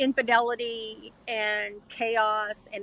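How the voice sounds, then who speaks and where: Speaking very slowly, a woman uses a fairly high pitch, a bright, sharp tone and monotone, flat intonation. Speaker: Marine Corps veteran, podcast guest. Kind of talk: testimony. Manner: halting, with many fillers.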